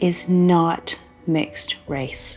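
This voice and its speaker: A woman's fairly low voice over music in the background. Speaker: geneticist. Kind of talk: explaining DNA results to a guest.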